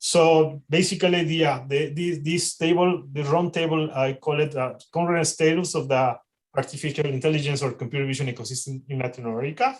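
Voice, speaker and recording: A man's somewhat breathy, fairly high-pitched voice at a fairly quick pace, with fairly even intonation. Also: hardly any pauses. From Mexico. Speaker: AI researcher and panel organizer. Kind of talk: panel introduction on a livestream. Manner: halting, many repetitions and fillers.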